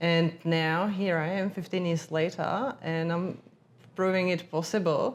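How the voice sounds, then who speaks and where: In a Czech accent, a woman speaks fairly slowly at a fairly low pitch with fairly even intonation. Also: very even loudness. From Czech Republic, Prague. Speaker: agency founder, former journalist. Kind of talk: interview conversation.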